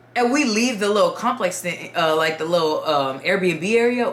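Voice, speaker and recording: A woman's animated voice at a moderate pace, with very wide pitch swings, audible room echo and noticeable background noise. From Dominican Republic. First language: Spanish. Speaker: YouTuber storyteller. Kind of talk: casual storytime.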